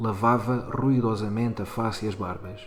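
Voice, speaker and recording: Monotone, flat intonation over music in the background. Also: man. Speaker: teacher. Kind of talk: short story reading.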